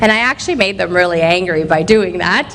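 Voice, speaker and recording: A woman speaks in an animated tone at a fairly quick pace. Noticeable background noise runs underneath. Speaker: motivational speaker. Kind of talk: motivational talk. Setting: stage with audience. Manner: animated, loud.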